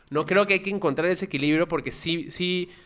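A man talks at a very fast pace with a bright, sharp tone. His pitch variation is ordinary. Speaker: podcast co-host. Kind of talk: casual chat.

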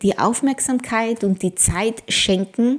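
A woman's fairly high voice at a very slow pace. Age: 40s. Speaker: ayurveda coach and podcast host. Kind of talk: solo podcast monologue; promotional pitch.

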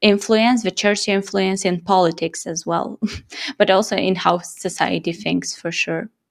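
On a very clean recording with a silent background, a woman with a Romanian accent speaks at a fairly slow pace in a medium pitch, with vocal fry and fairly even intonation. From Moldova. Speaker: podcast co-host and interviewer. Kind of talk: casual chat; scripted narration.

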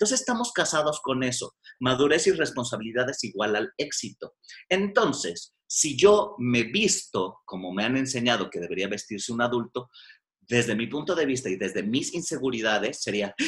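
With a medium pitch and very wide pitch swings, a man speaks at a moderate pace. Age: 40s. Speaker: psychotherapist. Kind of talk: casual chat.

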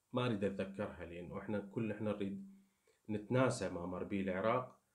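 There is audible room echo around a man whose fairly low voice shows ordinary pitch variation. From Iraq. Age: 30s. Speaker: YouTuber. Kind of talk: casual monologue to viewers.

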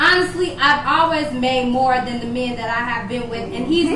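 A woman talks at a fairly quick pace, her high pitch showing ordinary variation, with noticeable background noise behind her. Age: 40s. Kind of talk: casual chat; motivational speech.

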